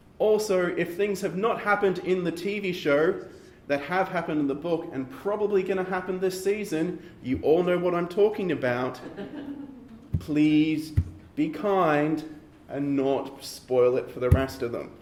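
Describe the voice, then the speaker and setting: Over noticeable background noise and audible room echo, a man speaks in a high pitch with ordinary pitch variation. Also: moderate pace. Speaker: panel moderator. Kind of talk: event introduction.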